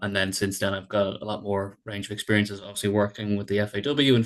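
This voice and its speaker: Against a quiet background, a man with a Dublin accent talks at a fairly quick pace in a fairly low, monotone, flat voice. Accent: Irish, Dublin. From Ireland, Dublin. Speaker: sport psychologist. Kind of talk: podcast interview. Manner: repeats words, filler-heavy.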